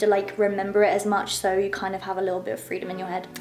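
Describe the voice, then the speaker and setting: A woman talks at a very fast clip over noticeable background noise. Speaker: actor and vlogger. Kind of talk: casual vlog talk. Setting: at home in her bedroom. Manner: loud.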